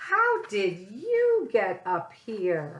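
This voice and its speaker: A female-sounding put-on character voice at medium pitch. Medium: read story.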